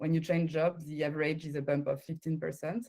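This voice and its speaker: A woman speaks at a fairly quick pace in a French accent. Her voice is very deep and low, with a dark, mellow tone. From France. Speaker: recruiter. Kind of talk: conference talk. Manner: halting.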